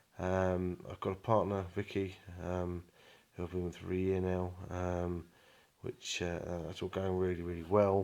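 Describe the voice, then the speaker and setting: A man speaks at a moderate pace with a southern English accent, his very deep, low voice held in a flat monotone over a very clean recording with a silent background. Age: 20s. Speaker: vlogger. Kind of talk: personal video diary. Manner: hesitant, many fillers.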